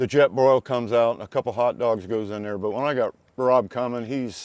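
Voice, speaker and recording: With an American accent, a man in an ordinary speaking voice talks at a medium pitch and fairly quick pace, using ordinary pitch variation, the sound dry and close with no echo. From Indiana, US Midwest. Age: 60s. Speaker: camper trailer owner. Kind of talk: casual interview chat.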